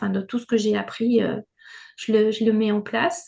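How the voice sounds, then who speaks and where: Her pitch sits fairly high for a woman as she talks at a moderate pace. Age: 60s. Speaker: retired schoolteacher and trainee therapist. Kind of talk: testimony in group Q&A. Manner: halting, many hesitations and repeats.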